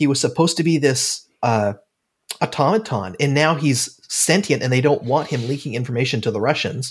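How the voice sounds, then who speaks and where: A man with a Pacific Northwest accent speaks at a fairly quick pace in a fairly high, somewhat breathy voice with lively intonation. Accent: Pacific Northwest American. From Oregon. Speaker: podcast host. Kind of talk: casual chat.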